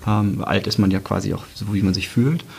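Noticeable background noise sits behind a man's voice. He speaks at a moderate pace with a fairly low pitch. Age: 30s. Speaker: team manager. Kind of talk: casual interview.

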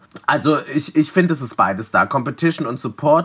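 With ordinary pitch variation, a man talks at a moderate pace in an unremarkable speaking voice. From Leipzig, eastern Germany. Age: 20s. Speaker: drag performer and DJ. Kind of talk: casual interview.

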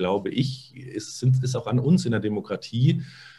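A man speaks at a moderate pace with lively intonation. His voice is somewhat breathy. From Munich, Bavaria. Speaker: SEO consultant. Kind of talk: casual interview. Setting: video podcast.

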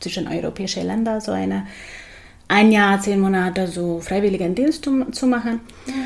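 A woman talks with a slight Hungarian accent. Her pitch is medium, with ordinary variation. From Hungary, Budapest. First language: Hungarian (speaking German). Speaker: psychologist and yoga teacher. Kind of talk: interview. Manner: hesitant with fillers.

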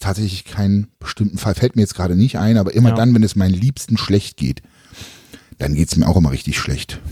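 A man with a fairly low pitch uses a plain, everyday voice, lively intonation and a fairly quick pace. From eastern Germany (former GDR). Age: 30s. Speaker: podcast host and bodybuilding YouTuber. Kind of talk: casual chat.

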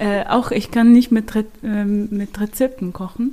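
Speaking with an Arabic accent, a woman has a fairly high pitch and fairly even intonation. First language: Arabic (speaking German). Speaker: prevention project worker. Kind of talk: casual chat. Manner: halting.

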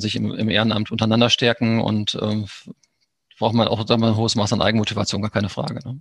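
A man at a very fast pace, medium in pitch, in a monotone, flat intonation. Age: 50s. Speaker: sports club official. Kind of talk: interview.

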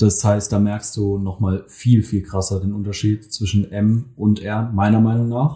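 On a very clean recording with a silent background, a man speaks somewhat breathily in a dark, mellow tone at a fairly low pitch, with fairly even intonation, a fairly slow pace and hardly any pauses. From Mannheim, Germany. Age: 20s. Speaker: photographer. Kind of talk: casual chat. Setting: studio.

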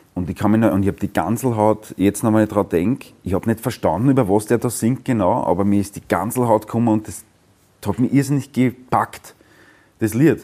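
A man talks at a fairly low pitch in a dark, mellow tone. His pitch varies in an ordinary way, at a moderate pace. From Austria, Weinviertel (Lower Austria). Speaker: musician. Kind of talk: interview.

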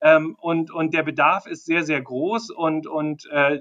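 A man speaks in a bright, sharp tone. His pitch is fairly high, with ordinary variation. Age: 50s. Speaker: marketing and sales executive. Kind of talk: interview. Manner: halting, many fillers.

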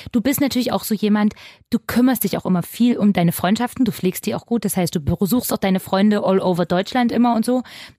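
The woman talks at a very fast pace with a medium pitch and ordinary pitch variation. Her voice is somewhat breathy, and the sound is dry and close with no echo. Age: 30s. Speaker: radio show co-host. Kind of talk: casual chat.

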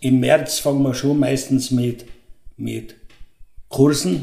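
A man with a Tyrolean accent, fairly high pitch, a dark, mellow tone, vocal fry and fairly even intonation. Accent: Tyrolean Austrian German. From Tyrol, Austria (Pillerseetal). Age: 70s. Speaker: fruit and garden club chairman. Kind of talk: interview.

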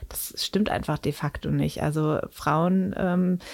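On a very clean recording with a silent background, a plain, everyday voice carries ordinary pitch variation. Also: woman. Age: 30s. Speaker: sex educator and author. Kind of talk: interview. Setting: studio.

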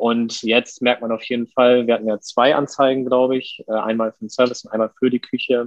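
A man talks at a medium pitch and a fairly quick pace with hardly any pauses. His intonation is monotone and flat. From Lower Saxony, Germany (Westerstede). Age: 30s. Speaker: chef and restaurant owner. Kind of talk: podcast interview.

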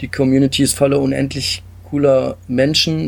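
A man talks at a medium pitch with ordinary pitch variation and vocal fry. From Stuttgart area, Germany. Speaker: game designer. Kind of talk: interview.

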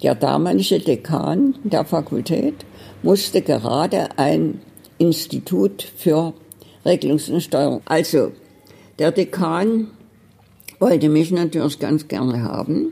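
A woman with a very deep, low pitch and a dark, mellow tone speaks very slowly with vocal fry, very wide pitch swings, very even loudness and long, frequent pauses. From Dresden, Saxony. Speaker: retired librarian running a private library. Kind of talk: interview. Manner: lively, animated storytelling.

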